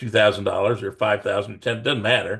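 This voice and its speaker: The speaker talks in a flat monotone at a fairly quick pace. Vocal fry runs through the voice. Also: man. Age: 70s. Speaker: life insurance broker. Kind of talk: video call discussion.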